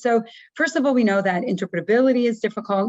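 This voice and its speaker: A woman speaks at a fairly quick pace. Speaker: professor, researcher in signal processing. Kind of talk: lecture. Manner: fast.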